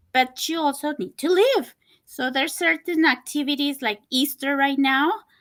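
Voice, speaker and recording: A woman's high-pitched voice with a Spanish accent, moderate pace and ordinary pitch variation. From Costa Rica. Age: 40s. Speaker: person living with diabetes. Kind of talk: interview. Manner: halting.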